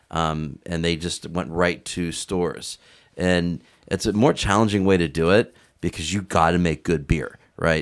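A man speaks with a very deep, low pitch and fairly even intonation, in an American accent. The recording is very clean, with a silent background. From Youngstown, Ohio. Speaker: beer industry insider podcast co-host. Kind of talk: casual chat.

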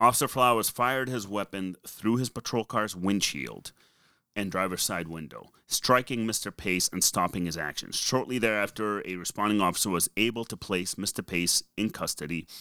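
A man speaks at a fairly low pitch in a bright, sharp tone with ordinary pitch variation. The sound is dry and close with no echo, in a very clean recording with a silent background. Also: moderate pace. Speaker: podcast co-host. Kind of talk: casual, conversational, reading a news synopsis aloud.

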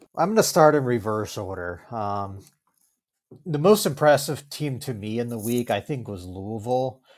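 A normal speaking voice from a man at medium pitch, with lively intonation, a moderate pace, big swings in loudness, and a very clean recording with a silent background. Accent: American. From Virginia. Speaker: sports writer and podcaster. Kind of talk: casual chat.

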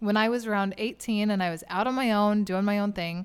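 With an American accent and an unremarkable speaking voice, a woman talks fairly quickly at a medium pitch with ordinary pitch variation, on a very clean recording with a silent background. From Oklahoma. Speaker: hunter and conservation spokesperson. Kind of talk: casual interview. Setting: convention.

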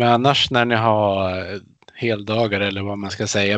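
A man with a fairly low pitch talks at a moderate pace in a monotone, flat delivery. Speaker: podcast co-host, sports writer. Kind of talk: casual chat.

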